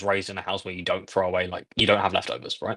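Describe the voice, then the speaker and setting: Very fast delivery in an English accent. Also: man. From England. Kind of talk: casual chat. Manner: halting.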